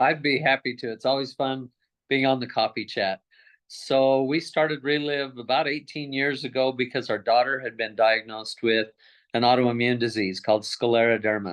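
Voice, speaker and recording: With fairly even intonation, a man at a medium pitch uses an ordinary speaking voice. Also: moderate pace. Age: 60s. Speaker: customer giving testimony. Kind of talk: testimony.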